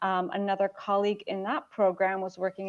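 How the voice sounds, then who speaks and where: Speaking at a fairly quick pace, a woman has a slight Chicago accent. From US Midwest, Chicago. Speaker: startup marketing executive. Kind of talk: casual interview.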